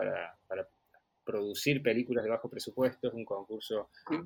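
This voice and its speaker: A plain, everyday voice at a moderate pace, with a dry, close sound and no echo. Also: man. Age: 30s. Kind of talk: interview.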